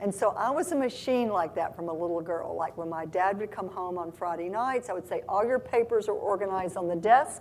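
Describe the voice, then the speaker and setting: A woman at medium pitch with a Southern US accent, lively intonation and a fairly quick pace. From US South, Oxford, Mississippi. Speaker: tech company CEO. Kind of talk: live interview on stage. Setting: stage with audience.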